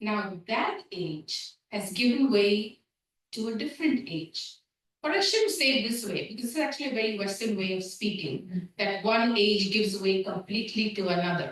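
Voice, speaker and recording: A woman speaks at a moderate pace in a fairly high, somewhat breathy voice. Her pitch variation is ordinary. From India. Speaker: seminary dean and scholar of religion. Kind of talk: lecture.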